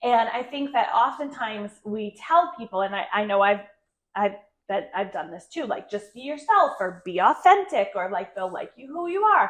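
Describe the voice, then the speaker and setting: Her fairly high voice animated, a woman speaks with very wide pitch swings and big swings in loudness. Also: moderate pace. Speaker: real estate broker and podcast host. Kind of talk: casual chat.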